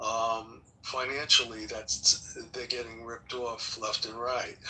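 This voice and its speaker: A man with a New York accent talks at a fairly slow pace in a monotone, flat intonation, over noticeable background noise. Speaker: forum participant. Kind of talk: group discussion. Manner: casual, blunt.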